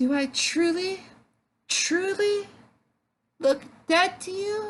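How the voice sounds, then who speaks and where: This put-on character voice sits at an extremely high pitch. It moves at a very slow pace. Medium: read story. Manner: soft, coquettish.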